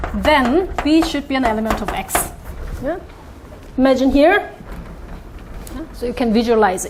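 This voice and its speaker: Against noticeable background noise and audible room echo, a woman with a high pitch and lively intonation speaks at a moderate pace, her loudness swinging widely, with long, frequent pauses. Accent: Korean. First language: Korean. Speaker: mathematics professor. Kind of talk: lecture. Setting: conference talk with audience. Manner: halting, with many fillers.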